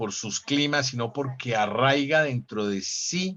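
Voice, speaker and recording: A man talks at medium pitch and a fairly slow pace. His pitch varies an ordinary amount. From Colombia, Manizales (coffee region). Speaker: actor. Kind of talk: interview. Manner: halting, repeats words.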